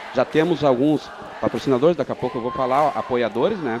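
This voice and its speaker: Fairly quick speech from a man with ordinary pitch variation, against noticeable background noise. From Porto Alegre, southern Brazil. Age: 40s. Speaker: amateur football league organizer. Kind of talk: radio interview.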